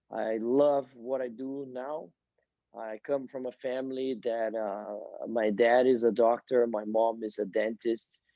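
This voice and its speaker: A man's medium-pitched flat monotone at a fairly slow pace, with a strong Brazilian accent. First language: Portuguese. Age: 40s. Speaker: soccer coach. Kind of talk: podcast interview. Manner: halting, repeats words.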